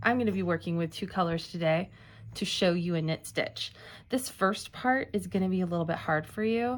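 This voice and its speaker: On a very clean recording with a silent background, a woman with a normal speaking voice talks at a moderate pace and fairly low pitch, with ordinary pitch variation. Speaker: library staff craft instructor. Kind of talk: tutorial. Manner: casual.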